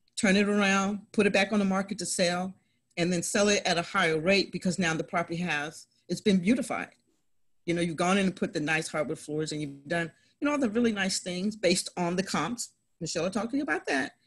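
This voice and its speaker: This woman talks very fast in an animated tone, somewhat breathy. Her pitch is medium, with ordinary pitch variation. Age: 50s. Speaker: real estate investor. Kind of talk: interview.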